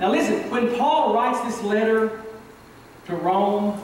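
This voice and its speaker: Strong room echo and light background noise surround a man with a high voice. He speaks at a fairly slow pace with fairly even intonation. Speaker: preacher. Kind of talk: sermon. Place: church.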